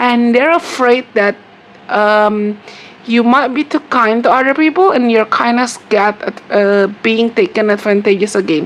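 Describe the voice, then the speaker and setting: Noticeable background noise accompanies speech in an Indonesian accent. The pace is fairly slow and the loudness very even. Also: woman, fairly high pitch for a woman, ordinary pitch variation. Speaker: tarot reader. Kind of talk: tarot reading monologue. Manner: hesitant, repetitive with fillers.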